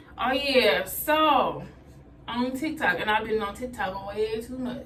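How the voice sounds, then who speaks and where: Amid noticeable background noise and audible room echo, a woman speaks at a very slow pace, her high pitch carrying ordinary pitch variation. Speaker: vlogger. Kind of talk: casual vlog talk while doing hair. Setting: bathroom, doing hair.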